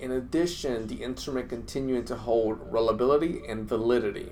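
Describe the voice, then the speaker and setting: With a Spanish accent, a man speaks at a moderate pace in a medium pitch with ordinary pitch variation. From Dominican Republic, moved to the US at age seven. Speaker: clinician and course instructor. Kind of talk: casual instructional talk to camera. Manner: halting, frequent fillers and repetitions.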